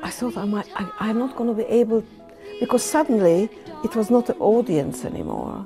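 Her fairly high voice has lively intonation and a moderate pace. Clear music plays behind this woman. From Hungary. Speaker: Holocaust survivor, former singer. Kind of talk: interview answer. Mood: emotional, reflective storytelling. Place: home room.

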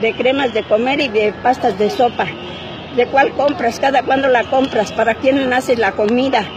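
In a Mexican accent, a woman speaks at a moderate pace in a high pitch with ordinary pitch variation and very even loudness. The sound is dry with no echo, and background noise is noticeable. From Mexico, provincial. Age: 80s+. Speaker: elderly citizen venting at government. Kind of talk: street interview answer. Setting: outdoors. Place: street. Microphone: phone near.

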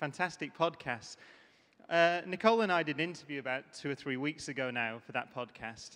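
A man speaks at a fairly quick pace with a bright, sharp tone. His pitch varies in an ordinary way. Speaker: conference speaker. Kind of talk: keynote talk. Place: stage. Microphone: handheld.

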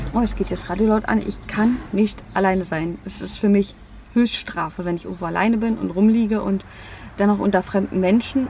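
A woman talks at a moderate pace. There is light background noise, and the sound is dry with no echo. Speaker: vlogger. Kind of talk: casual vlog chat. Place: car.

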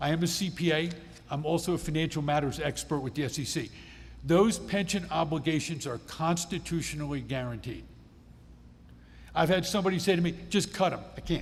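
Over audible room echo, a man with a fairly high pitch and vocal fry speaks at a fairly quick pace with ordinary pitch variation. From Pennsylvania, Adams County. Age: 60s. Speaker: state legislator. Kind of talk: town hall presentation. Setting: public meeting with audience.

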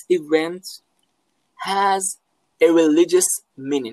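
With an Israeli accent, a man speaks at a very slow pace using lively intonation. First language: Hebrew. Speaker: philosophy professor. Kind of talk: interview. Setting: video call from home. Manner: halting.

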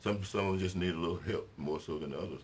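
Over light background noise, a man with a Mississippi accent speaks very fast at a very deep, low pitch with fairly even intonation. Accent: Southern US, Mississippi. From US South, Mississippi. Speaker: city mayor. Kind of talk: interview. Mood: warm, relaxed. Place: studio.

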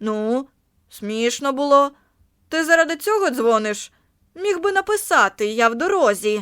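Delivered at a moderate pace, a put-on character voice swings very widely in pitch and breaks off in long, frequent pauses. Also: woman, high pitch for a woman. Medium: read story. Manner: casual, offhand.

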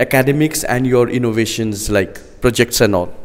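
Someone with a Nepali accent talks at a fairly quick pace. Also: man. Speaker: news reporter. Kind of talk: interview. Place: classroom. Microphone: handheld.

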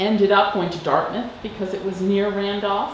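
There is audible room echo and light background noise around a woman's voice. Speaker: interviewee. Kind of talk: interview answer. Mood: relaxed, reminiscing, wry.

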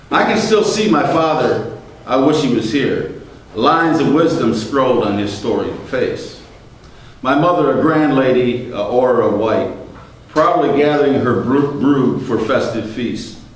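A man at a fairly slow pace, lively intonation and strong room echo around him. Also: medium pitch for a man.

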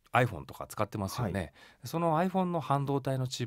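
A medium-pitched male voice with very wide pitch swings, in a very clean recording with a silent background. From Japan, Yokohama, Kanagawa. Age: 40s. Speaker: company chairman. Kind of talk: radio interview.

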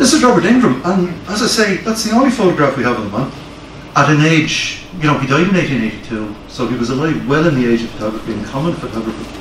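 A fairly high-pitched man talks at a very fast pace in a Dublin accent, with audible room echo and light background noise. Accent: Dublin Irish. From Ireland, Dublin. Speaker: fire service historian giving a lecture. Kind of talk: lecture; audience Q&A. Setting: library hall with live audience. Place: meeting room. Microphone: camera far.

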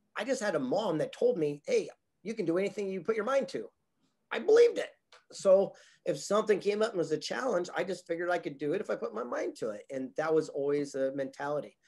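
A man with a West Coast American accent talks at a very fast pace over a quiet background. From Southern California. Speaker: motivational speaker and author. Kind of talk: interview. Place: home room. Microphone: webcam.

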